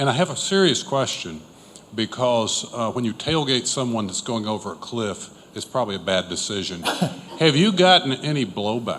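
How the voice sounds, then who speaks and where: A man speaks loudly at a moderate pace. His pitch swings very wide. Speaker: audience member, alumnus. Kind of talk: audience question.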